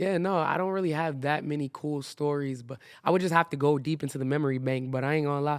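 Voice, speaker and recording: Speaking at a very fast pace, a man uses a fairly high pitch and fairly even intonation. The recording is very clean, with a silent background. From Maryland and New York (Bronx). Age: 20s. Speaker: rapper. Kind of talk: casual chat.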